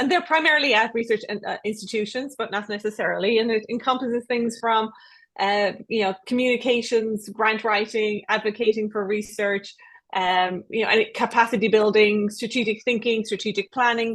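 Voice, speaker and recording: A woman with an Irish accent, fairly high in pitch, with fairly even intonation and a moderate pace. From Ireland. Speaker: research development professional. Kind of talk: panel discussion.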